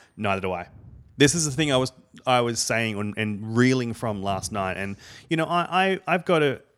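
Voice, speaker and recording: The voice has an Australian accent, a moderate pace and very wide pitch swings. The recording is very clean with a silent background. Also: man, medium pitch for a man. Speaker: podcast panelist. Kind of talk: casual chat.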